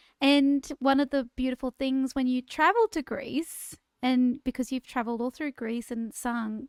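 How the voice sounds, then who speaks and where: A woman with an Australian accent speaks at a moderate pace and a high pitch. The recording is very clean, with a silent background and a dry, close sound with no echo. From Queensland, Australia (Bundaberg). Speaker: singer and podcast co-host, former school teacher. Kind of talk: casual chat.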